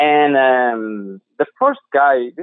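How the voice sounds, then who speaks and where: A man speaks with a Portuguese accent. His pitch is medium. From Portugal. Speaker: drinks brand founder. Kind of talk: interview.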